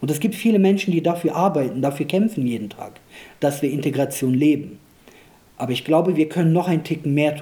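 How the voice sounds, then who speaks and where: A somewhat breathy man's voice, fairly high in pitch, at a fairly quick pace with ordinary pitch variation. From Germany, Rhineland (came from Kosovo aged 2.5). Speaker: parliamentary candidate and local politician. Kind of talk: political interview.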